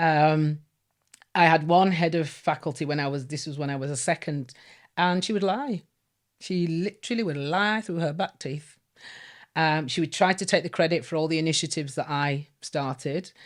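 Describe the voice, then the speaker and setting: On a very clean recording with a silent background, a woman with a Yorkshire accent speaks at a very deep, low pitch. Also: ordinary pitch variation, moderate pace. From northern England, Leeds. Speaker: former teacher. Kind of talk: interview testimony.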